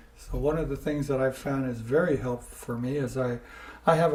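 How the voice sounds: Over audible room echo, a man speaks at a moderate pace and medium pitch in a dark, mellow tone.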